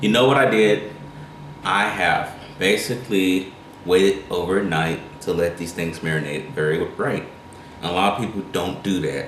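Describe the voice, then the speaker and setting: A man with a strong Carolina accent and very deep, low pitch with ordinary variation, at a moderate pace with long, frequent pauses, amid audible room echo and noticeable background noise. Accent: thick Carolina. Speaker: cooking channel host. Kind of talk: cooking tutorial. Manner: casual, rambling with self-corrections.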